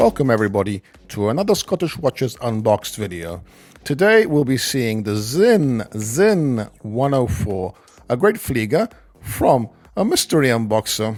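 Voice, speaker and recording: A normal speaking voice with lively intonation, delivered at a moderate pace. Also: man, medium pitch for a man. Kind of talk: casual video intro.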